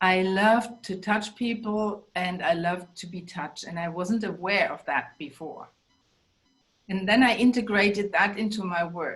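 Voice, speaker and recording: Her loudness swings a lot as a woman speaks with a German accent. She keeps a medium pitch, ordinary pitch variation and a moderate pace. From Germany. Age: 60s. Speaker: life coach and bodyworker. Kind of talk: interview.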